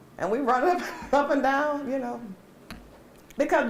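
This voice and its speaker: A high-pitched woman's voice at a moderate pace, ordinary pitch variation, audible room echo and noticeable background noise. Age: 60s. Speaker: community workshop presenter. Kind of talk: workshop discussion.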